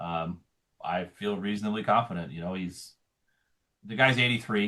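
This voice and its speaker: With ordinary pitch variation and an American accent, an unremarkable speaking voice talks at a moderate pace. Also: man, fairly low pitch for a man. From Montana. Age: 40s. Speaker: political candidate. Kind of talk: interview.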